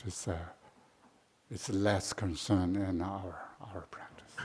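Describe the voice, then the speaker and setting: A man's very deep, low pitch at a very slow pace, somewhat breathy, with fairly even intonation and a Tibetan accent. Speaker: Buddhist teacher. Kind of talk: dharma talk. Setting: shrine room retreat. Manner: halting, many fillers.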